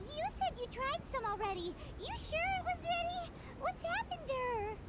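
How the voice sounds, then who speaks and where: A squeaky put-on character voice sits at an extremely high pitch. It moves at a moderate pace. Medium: machinima. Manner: blunt, curious.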